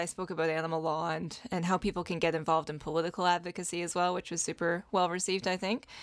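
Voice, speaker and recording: Very fast and monotone, a woman speaks with flat intonation and a fairly low pitch in a very clean recording with a silent background. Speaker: animal lawyer and podcast co-host. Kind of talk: casual conversation on legal topics.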